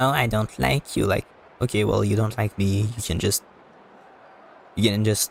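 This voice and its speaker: A man with a fairly low pitch and vocal fry talks with fairly even intonation, the sound dry and close with no echo. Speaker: gaming streamer. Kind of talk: live gameplay stream. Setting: live stream. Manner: halting.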